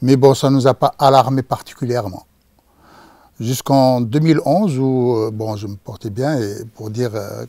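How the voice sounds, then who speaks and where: The man's dark, mellow tone comes with big swings in loudness. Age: 60s. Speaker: cancer patient. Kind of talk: testimony. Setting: studio. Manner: halting, many hesitations.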